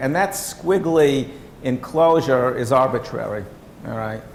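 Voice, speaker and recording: There is audible room echo and noticeable background noise. Through it, a man speaks with lively intonation. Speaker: workshop presenter. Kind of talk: lecture. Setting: workshop room with audience.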